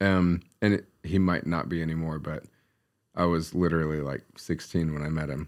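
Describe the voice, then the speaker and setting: A man's very deep, low voice with an American accent, monotone, flat intonation and a moderate pace, in a very clean recording with a silent background. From US West, Reno, Nevada. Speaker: tattoo artist. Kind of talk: casual chat.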